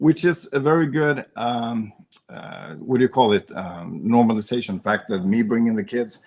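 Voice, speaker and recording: The speaker uses lively intonation with a Swedish accent at a moderate pace. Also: man, medium pitch for a man. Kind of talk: podcast interview. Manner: halting.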